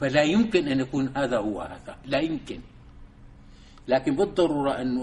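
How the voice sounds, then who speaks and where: A man speaks at a fairly slow pace with a fairly high pitch. His voice is somewhat breathy. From Syria, Damascus. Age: 70s. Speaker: Islamic thinker and civil engineer. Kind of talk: lecture. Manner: halting.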